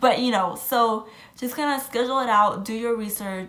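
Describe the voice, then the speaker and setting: An animated voice with audible room echo and noticeable background noise. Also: woman. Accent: Spanish. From Puerto Rican background. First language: Spanish. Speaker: travel vlogger. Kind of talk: casual vlog talk.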